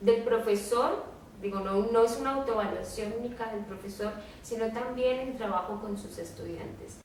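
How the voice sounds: With audible room echo, a woman at a fairly high pitch talks at a moderate pace with ordinary pitch variation.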